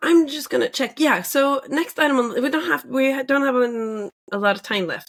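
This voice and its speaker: A woman talks with a Norwegian accent. Her intonation is lively. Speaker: podcast co-host. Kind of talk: casual chat.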